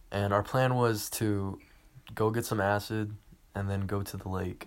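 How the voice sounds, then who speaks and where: Fairly low in pitch, a man talks at a fairly slow pace with monotone, flat intonation. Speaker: podcast host. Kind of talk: casual monologue. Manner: halting, stuttering.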